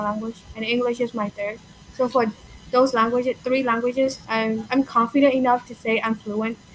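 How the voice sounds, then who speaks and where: Music plays in the background. Over it, a woman speaks at a fairly quick pace with monotone, flat intonation. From Myanmar. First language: Burmese. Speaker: language learner. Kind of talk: casual conversation. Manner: halting, with fillers.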